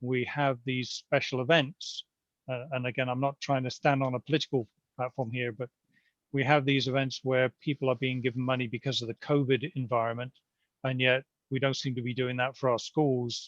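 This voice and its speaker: A man's medium-pitched, monotone, flat voice with a British accent, in a dry, close sound with no echo. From Britain. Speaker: neighborhood committee chair. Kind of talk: community meeting Q&A.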